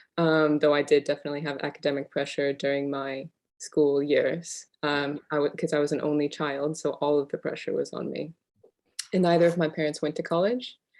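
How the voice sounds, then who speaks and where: A woman talks at a fairly quick pace in a very deep, low pitch. Her intonation is fairly even. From California, Central Valley. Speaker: PhD researcher. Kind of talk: interview.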